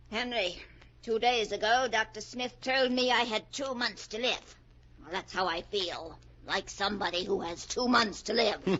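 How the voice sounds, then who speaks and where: A woman puts on a character voice, fairly high in pitch, talking at a moderate pace. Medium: old radio play. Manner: acerbic, dryly mocking.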